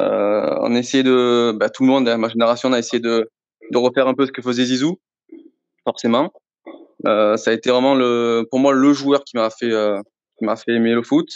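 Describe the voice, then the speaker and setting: In a Marseille accent, a man of medium pitch talks at a moderate pace with long, frequent pauses, the sound dry and close with no echo. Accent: southern French (Marseille), sing-song. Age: 30s. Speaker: sports store assistant manager, football fan. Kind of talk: podcast interview. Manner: hesitant, many fillers.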